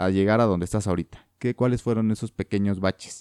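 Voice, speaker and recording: A man speaks in a Mexican accent. His tone is dark and mellow. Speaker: podcast host. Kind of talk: interview conversation.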